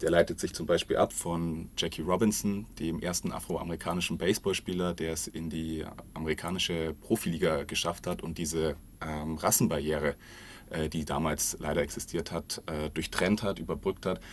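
Very deep and low in pitch, a man talks at a moderate pace with fairly even intonation. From Bavaria, south of Munich. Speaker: corporate social responsibility manager. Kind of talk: podcast interview. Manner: hesitant with many fillers.

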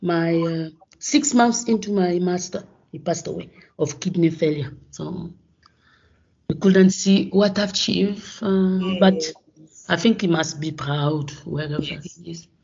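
Speaking at a fairly slow pace, a woman with a fairly low, somewhat breathy voice uses ordinary pitch variation, leaving long, frequent pauses as her loudness swings widely. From Gabon. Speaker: professor of microbiology. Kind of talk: interview. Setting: remote call from home. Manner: halting.

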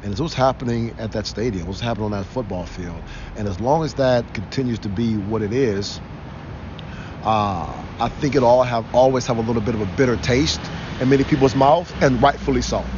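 With an American accent, a man talks at a fairly quick pace in a medium pitch with ordinary pitch variation. Noticeable background noise and audible room echo are present. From Cleveland, Ohio. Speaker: football coach and former NFL lineman. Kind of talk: interview.

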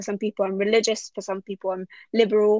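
Recorded dry and close with no echo over a quiet background, a woman speaks with a London accent at a fairly high pitch. Her pace is fairly quick and her intonation is flat and monotone. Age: 20s. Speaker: systemic therapist. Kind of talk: casual chat.

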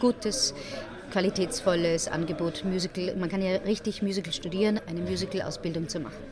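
A woman's medium-pitched voice rises and falls in an ordinary way while noticeable background noise runs underneath. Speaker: musical theatre performer. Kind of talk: casual interview. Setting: café.

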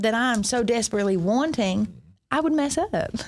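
Speaking in a Southern US accent, a woman has a high pitch and lively intonation. Her pace is moderate. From US South (west Georgia / Alabama). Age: 30s. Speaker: recovery ministry leader. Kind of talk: testimony. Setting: church.

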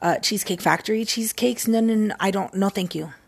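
A woman speaks at a fairly quick pace in an animated tone. Her voice is somewhat breathy. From Mexican-American family. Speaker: podcast host. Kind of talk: casual solo monologue. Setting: at home in a recliner. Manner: animated, frequent laughing.

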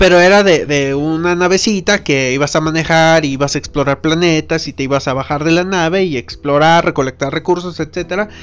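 A man with a central Mexican accent talks at a fairly quick pace with hardly any pauses. His pitch is fairly high. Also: fairly even intonation. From Mexico, Irapuato, Guanajuato. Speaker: podcast host. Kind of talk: casual monologue. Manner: halting, many repetitions.

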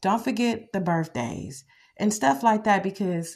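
Lively intonation marks the woman's somewhat breathy speech. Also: quiet background. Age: 40s. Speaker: podcast host, mother. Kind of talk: casual monologue.

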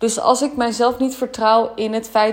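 A woman speaks at a fairly slow pace in a fairly high voice. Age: 20s. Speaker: spiritual business mentor. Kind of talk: solo podcast monologue. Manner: hesitant, many filler words.

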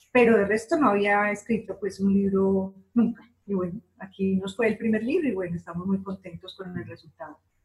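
Somewhat breathy, a woman talks at a fairly quick pace. Her pitch is medium, with ordinary variation. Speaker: short story writer. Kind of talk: interview.

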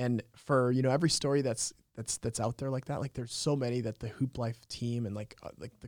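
Recorded dry and close with no echo, a man with an unremarkable speaking voice talks at a fairly quick pace in a medium pitch with fairly even intonation. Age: 20s. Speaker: entrepreneur and youth basketball program founder. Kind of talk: casual interview.

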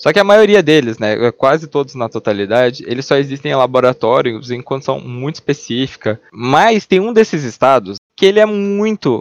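Pitch swings very widely as a man talks at a moderate pace with hardly any pauses. The sound is dry and close, with no echo. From Brazil, Curitiba. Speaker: podcast host. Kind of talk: casual chat.

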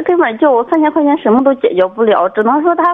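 The speech has lively intonation. It moves at a fairly quick pace. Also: woman. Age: 30s. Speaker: caller, doctor. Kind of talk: call-in advice conversation. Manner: halting, many fillers.

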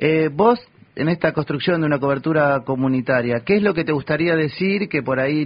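With a Rioplatense accent, a man speaks at a moderate pace in a fairly high pitch. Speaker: community radio host. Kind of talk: radio interview. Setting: radio studio.

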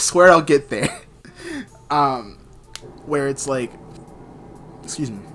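Over noticeable background noise, a man talks with ordinary pitch variation and long, frequent pauses. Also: fairly high pitch for a man, fairly slow pace. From US South, Georgia. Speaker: podcast host. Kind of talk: casual chat.

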